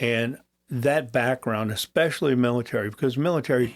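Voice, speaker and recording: A man at medium pitch and moderate pace, with a Midwestern American accent. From US Midwest. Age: 70s. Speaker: retired police chief. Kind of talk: interview. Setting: studio.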